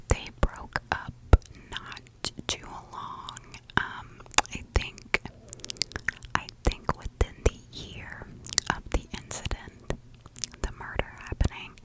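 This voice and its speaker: A woman whispers very slowly with long, frequent pauses and big swings in loudness, while noticeable background noise plays. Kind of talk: whispered ASMR true crime narration. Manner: slow, whispered.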